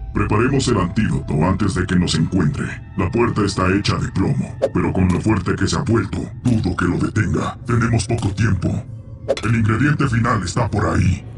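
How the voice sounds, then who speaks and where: A man's cartoonish character voice at a fairly low pitch and moderate pace, amid loud background noise. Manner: lecturing, self-assured.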